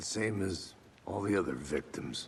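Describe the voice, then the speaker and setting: A man puts on a character voice that is raspy and very deep, low in pitch. He speaks at a moderate pace. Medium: video game. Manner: dry, laconic.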